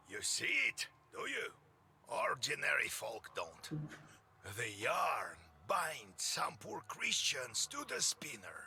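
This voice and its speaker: In a put-on character voice, a man rasps along at a very slow pace with long, frequent pauses. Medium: video game. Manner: blunt, sly.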